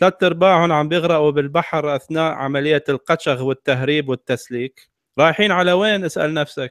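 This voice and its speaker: Speaking in a normal speaking voice, a man moves at a moderate pace with a fairly high pitch and ordinary pitch variation. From Iraq. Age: 40s. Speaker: atheist commentator, refugee aid worker. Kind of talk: casual online discussion.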